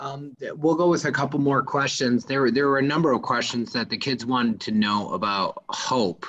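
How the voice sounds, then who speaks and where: A man with an unremarkable speaking voice and fairly high pitch. He keeps a moderate pace and ordinary pitch variation. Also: hardly any pauses. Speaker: event moderator. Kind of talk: interview. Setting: video call.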